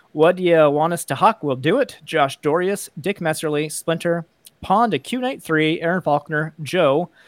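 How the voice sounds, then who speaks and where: A plain, everyday voice with ordinary pitch variation comes through in a dry, close sound with no echo. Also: man. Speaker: podcast co-host. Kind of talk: casual chat.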